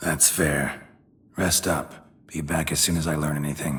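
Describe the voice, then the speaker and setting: Putting on a character voice, a man speaks in a raspy, very deep, low tone with monotone, flat intonation. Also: moderate pace. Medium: video game. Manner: terse, clipped, dry.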